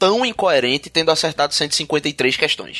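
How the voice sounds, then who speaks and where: With lively intonation at a moderate pace, this is a plain, everyday voice in a dry, close sound with no echo. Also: man. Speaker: teacher and podcast host. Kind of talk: casual chat.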